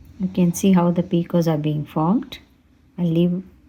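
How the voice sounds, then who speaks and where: Somewhat breathy, a woman talks in a dark, mellow tone at a fairly low pitch with ordinary pitch variation. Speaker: craft tutorial creator. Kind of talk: tutorial. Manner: slow.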